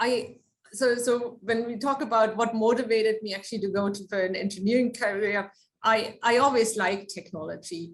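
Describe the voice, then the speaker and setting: Speaking at a fairly quick pace, a woman with a German accent keeps her intonation fairly even. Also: fairly high pitch for a woman. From Germany. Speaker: research engineer. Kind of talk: lecture.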